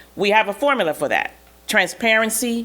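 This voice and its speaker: A woman speaks at a moderate pace. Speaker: affordable housing developer executive. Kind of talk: panel presentation. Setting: conference stage with audience. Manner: loud; animated.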